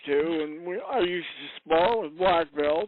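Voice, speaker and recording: Using an ordinary speaking voice, a man talks at a fairly slow pace with fairly high pitch. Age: 60s. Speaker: prospective insurance client. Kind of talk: sales call. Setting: phone call.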